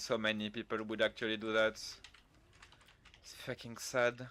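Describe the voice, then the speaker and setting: Here a man with a fairly low pitch and a bright, sharp tone talks at a moderate pace. His loudness swings widely, and he leaves long, frequent pauses. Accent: French. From France. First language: French. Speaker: video game streamer. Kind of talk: casual gaming livestream chat. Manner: animated.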